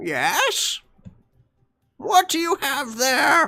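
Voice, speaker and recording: The voice is a put-on character voice. Its pitch sits extremely high. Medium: actual play. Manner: inquisitive.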